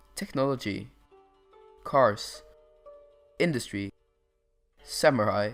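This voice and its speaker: Music plays in the background behind speech in a non-native accent. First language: not English. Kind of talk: educational history narration.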